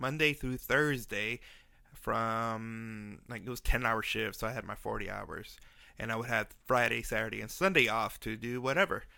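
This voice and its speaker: With a bright, sharp tone, a man mumbles at a moderate pace with ordinary pitch variation, in a very clean recording with a silent background. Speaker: podcast host, brain bleed survivor. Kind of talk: personal storytelling podcast. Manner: slightly mumbled, effortful enunciation; casual, halting with fillers.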